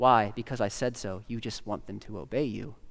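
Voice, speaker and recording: Here a man talks at a moderate pace. His pitch is fairly low, with ordinary pitch variation. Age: 30s. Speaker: pastor. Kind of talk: sermon. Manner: halting.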